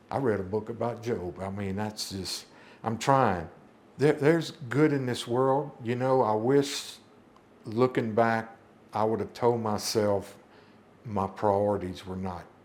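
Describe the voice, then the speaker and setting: A man talks in a Louisiana accent at a medium pitch. His pace is fairly slow. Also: ordinary pitch variation. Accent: US Southern (Louisiana). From Louisiana (Baton Rouge area). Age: 60s. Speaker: church member sharing life story. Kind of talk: testimony. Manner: halting.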